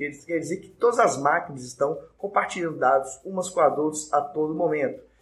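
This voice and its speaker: A man talks very fast in a fairly high pitch with hardly any pauses. His loudness swings widely. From Brazil, Minas Gerais (Belo Horizonte). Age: 20s. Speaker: lawyer and law professor. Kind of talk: live-streamed lecture with audience Q&A. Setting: online live stream.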